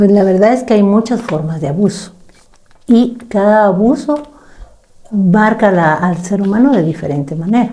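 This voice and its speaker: Speaking at a moderate pace, a woman uses a medium pitch and lively intonation. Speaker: psychologist. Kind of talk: casual chat.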